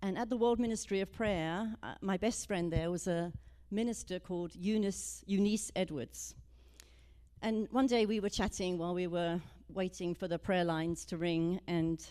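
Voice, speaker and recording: Dark and mellow in tone, a woman speaks at medium pitch and a moderate pace with ordinary pitch variation. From Britain. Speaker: minister. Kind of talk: sermon. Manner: casual, storytelling.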